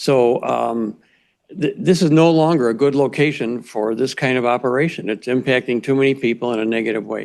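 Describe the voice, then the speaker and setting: A man with an ordinary speaking voice and a medium pitch. He talks at a fairly quick pace with ordinary pitch variation. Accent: American. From Chicago. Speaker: resident giving public comment. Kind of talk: public hearing comment.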